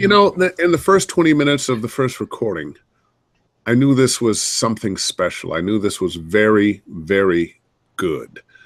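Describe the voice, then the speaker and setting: Very wide pitch swings at a moderate pace. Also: man, medium pitch for a man. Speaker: voice actor. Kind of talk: interview answer.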